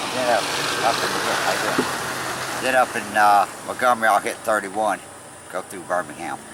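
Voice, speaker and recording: Over noticeable background noise, a man with a Southern US accent talks at a fairly slow pace in a fairly low pitch with fairly even intonation. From Tennessee, Nashville. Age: 60s. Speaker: long-distance cyclist traveler. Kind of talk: casual interview. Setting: outdoors by the road.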